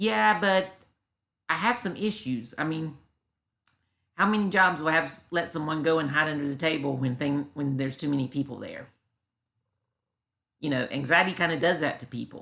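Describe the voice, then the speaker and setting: A woman with a Southern US accent speaks in a very deep, low pitch with a bright, sharp tone and lively intonation. Long, frequent pauses break her speech over a quiet background. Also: moderate pace. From US South. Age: 40s. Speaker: YouTuber reacting to critics. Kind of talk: reaction commentary. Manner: halting.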